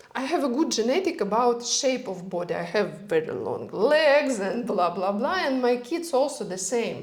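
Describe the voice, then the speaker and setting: Through audible room echo and noticeable background noise, a woman with a non-native accent talks at a moderate pace with hardly any pauses, her high pitch making very wide swings. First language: not English. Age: 40s. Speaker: health and longevity expert. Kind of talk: casual interview chat. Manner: halting.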